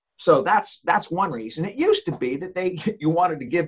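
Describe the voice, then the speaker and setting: Speaking at a moderate pace with an American accent, a man uses a fairly high voice and lively intonation. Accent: American, Southern-leaning. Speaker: author, former lawyer, ghostwriting publisher. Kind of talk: casual interview.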